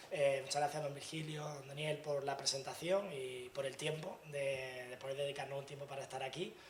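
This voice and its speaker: Noticeable background noise and audible room echo surround the recording. The man speaks at a fairly quick pace. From Andalusia, Granada. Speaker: tech industry speaker. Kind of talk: lecture. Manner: fast.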